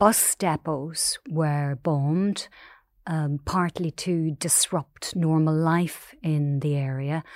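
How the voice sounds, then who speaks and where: With a Northern Irish accent, a woman speaks very slowly in a very deep, low voice and fairly even intonation, recorded dry and close with no echo, very clean over a silent background. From Northern Ireland, Omagh. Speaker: newspaper columnist. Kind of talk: interview.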